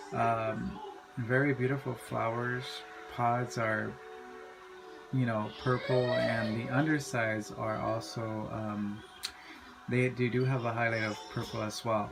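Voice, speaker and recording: With long, frequent pauses, a man speaks at a fairly slow pace and a medium pitch, his intonation fairly even. Noticeable background noise and audible room echo fill the recording. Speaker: hobby pepper grower vlogger. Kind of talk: casual video tutorial. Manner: halting, many fillers.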